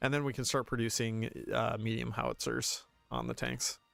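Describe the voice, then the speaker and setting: A man speaks at a fairly quick pace in a very clean recording with a silent background. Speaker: video game streamer. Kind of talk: live gameplay commentary. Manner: fast; halting, repeats words.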